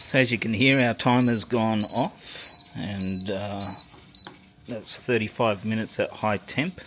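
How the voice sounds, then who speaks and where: A man with an Australian accent speaks at a fairly slow pace in a fairly low voice with ordinary pitch variation. Noticeable background noise is present. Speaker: home barbecue enthusiast. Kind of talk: casual cooking video talk. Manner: hesitant, many fillers.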